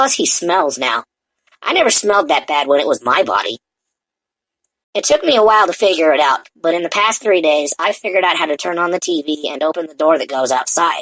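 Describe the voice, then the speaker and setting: This man puts on a raspy character voice, pitched high and delivered at a fairly quick pace. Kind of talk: comic first-person storytelling. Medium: read story. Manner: casual, chatty.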